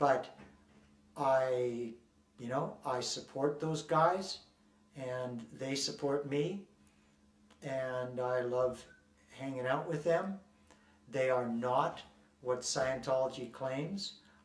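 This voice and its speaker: A man speaks very slowly at a medium pitch, leaving long, frequent pauses. His pitch varies in an ordinary way, and there is noticeable background noise. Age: 60s. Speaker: ex-member of a church, activist. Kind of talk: interview. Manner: halting, with repetitions.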